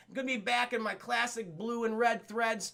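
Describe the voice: Putting on a character voice, a man speaks at an extremely high pitch with a bright, sharp tone, fairly even intonation and a moderate pace.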